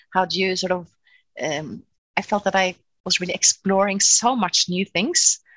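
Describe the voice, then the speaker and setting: A woman with a Norwegian accent speaks at a moderate pace and a medium pitch. Her pitch varies in an ordinary way, broken by long, frequent pauses. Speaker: cellist and music professor. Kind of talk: interview. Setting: video call.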